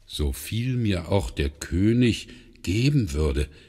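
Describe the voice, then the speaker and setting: This man's voice has a gentle, warm tone with vocal fry and very wide pitch swings. The recording is very clean, with a silent background. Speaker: audiobook narrator. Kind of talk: bedtime story reading, calm fairy-tale narration aloud with character voices. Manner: gentle, unhurried storyteller pace, warm and expressive.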